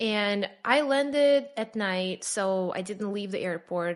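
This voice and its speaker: A woman with a Russian accent against a quiet background. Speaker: immigrant sharing her story. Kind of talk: podcast interview.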